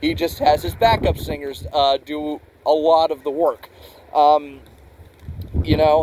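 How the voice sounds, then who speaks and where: Over noticeable background noise, a man with a fairly high pitch speaks at a fairly slow pace, leaving long, frequent pauses. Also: ordinary pitch variation. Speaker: music reviewer. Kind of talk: casual review monologue. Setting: outdoors. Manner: loud; halting, many fillers.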